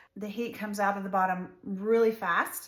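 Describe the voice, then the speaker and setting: At a moderate pace, a woman talks at medium pitch with fairly even intonation over noticeable background noise. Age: 60s. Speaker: soap maker. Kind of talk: tutorial. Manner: casual, conversational.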